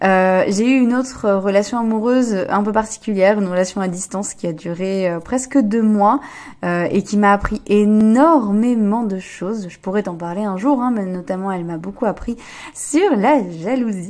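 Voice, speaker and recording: In a medium pitch with ordinary pitch variation, a woman talks at a moderate pace. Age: 20s. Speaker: relationship coach and podcaster. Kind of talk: podcast monologue. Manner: hesitant, many fillers.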